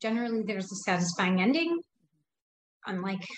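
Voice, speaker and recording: A woman speaks with an American accent in a somewhat breathy voice. Her pitch swings very widely. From US Midwest, Chicago suburbs. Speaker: nonprofit worker and writer. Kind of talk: casual interview chat.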